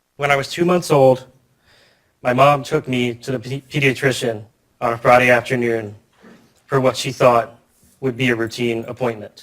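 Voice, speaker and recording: A man with an American accent at a medium pitch, moderate pace and long, frequent pauses. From New York, Yonkers. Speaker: keynote speaker, software engineer. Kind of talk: conference keynote speech. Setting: conference stage with audience.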